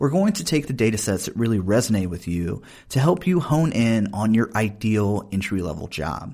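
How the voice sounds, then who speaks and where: A medium-pitched man with a Southern US accent, fairly quick and with very wide pitch swings, on a very clean recording with a silent background. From US South. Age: 30s. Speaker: podcast host and professor. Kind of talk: casual interview conversation.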